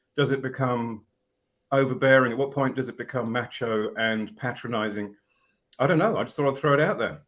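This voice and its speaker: A man with an Australian accent speaks at a fairly quick pace and a medium pitch. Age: 50s. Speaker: podcast host. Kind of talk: casual panel discussion.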